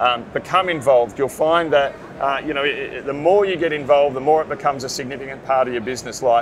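With an Australian accent, a man talks at a very fast pace with a fairly high pitch and ordinary pitch variation over noticeable background noise. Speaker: print business owner and industry association chairman. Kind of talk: interview. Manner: halting, many fillers.

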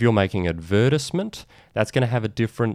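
Talking at a very fast pace with an Australian accent, a man shows ordinary pitch variation in a dry, close sound with no echo. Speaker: podcast host and lawyer marketing expert. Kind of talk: solo video/podcast monologue, informal explainer. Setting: video recording. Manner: casual, conversational.

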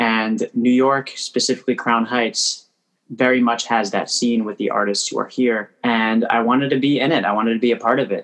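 Delivering his words at a moderate pace, a man with a Canadian accent keeps a medium pitch and a monotone, flat intonation. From Canada, Toronto. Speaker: singer-songwriter. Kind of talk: casual interview. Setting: video call. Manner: halting, many repetitions and fillers.

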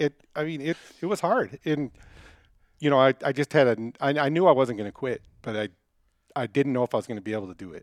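Over a very clean recording with a silent background and a dry, close sound with no echo, a man with an American accent talks at a very fast pace in a fairly high voice, with lively intonation, big swings in loudness, and long, frequent pauses. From US Midwest (Detroit). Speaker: hunter, club member. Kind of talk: casual interview.

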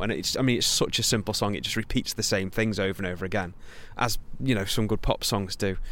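The speaker talks in a Potteries accent at a fairly quick pace. Pitch varies in an ordinary way. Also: man. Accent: Potteries (Stoke) English. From Stoke-on-Trent, England. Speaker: singer-songwriter. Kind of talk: interview. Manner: halting.

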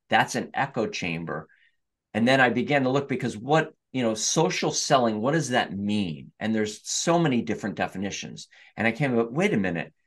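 A man's medium-pitched voice with vocal fry and lively intonation, set against a quiet background. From US Northeast, Hudson Valley New York. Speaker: sales trainer. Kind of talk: interview.

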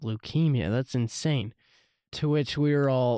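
The man talks with ordinary pitch variation. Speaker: podcast host. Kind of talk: solo podcast monologue with personal testimony. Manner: conversational, earnest, with filler words.

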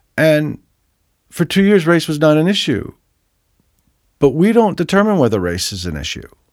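On a very clean recording with a silent background, a fairly high-pitched man moves at a moderate pace with very wide pitch swings and long, frequent pauses. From US Northeast, New Jersey. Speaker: music producer and author. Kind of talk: casual chat.

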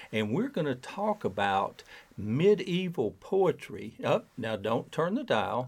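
Very slow speech from a man, fairly high in pitch, with vocal fry and very wide pitch swings. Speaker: radio host. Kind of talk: radio interview. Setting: on campus, radio show.

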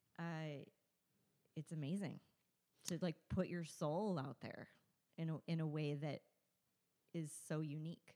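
Her voice dark and mellow, a woman with an American accent speaks at a very deep, low pitch and a fairly slow pace, with fairly even intonation and long, frequent pauses. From Southern California. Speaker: burlesque performer and show producer. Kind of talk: casual chat.

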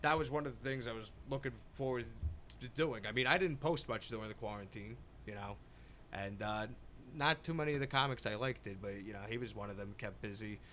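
Speaking with an American accent, a man moves at a fairly quick pace with ordinary pitch variation. His tone is bright and sharp, with vocal fry. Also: medium pitch for a man. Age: 20s. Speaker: comedian. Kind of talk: casual chat. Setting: podcast studio.

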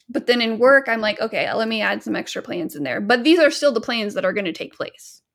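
A woman's fairly high-pitched voice with vocal fry and lively intonation, at a very fast pace with hardly any pauses. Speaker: podcast co-host.

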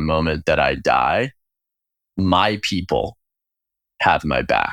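On a very clean recording with a silent background, a man with an American accent speaks in a very deep, low pitch with vocal fry and ordinary pitch variation. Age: 30s. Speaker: food company co-founder. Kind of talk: interview conversation.

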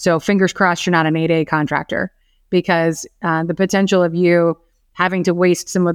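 Speaking very fast with a monotone, flat intonation, a woman with an American accent has a fairly low pitch, captured in a very clean recording with a silent background and a dry, close sound with no echo. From Florida, Orlando. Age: 40s. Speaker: business development executive at a lender. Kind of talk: podcast interview.

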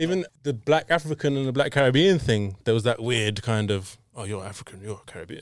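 With a London accent, a man at medium pitch talks fairly quickly with hardly any pauses, lively intonation and big swings in loudness. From London, Tottenham. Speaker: audio engineer. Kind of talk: casual chat. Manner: casual, rambling.

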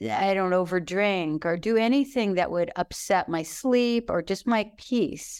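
In a normal speaking voice, a woman with medium pitch talks at a fairly slow pace with hardly any pauses and lively intonation. The recording is very clean, with a silent background. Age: 60s. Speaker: writing teacher and author. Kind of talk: casual chat.

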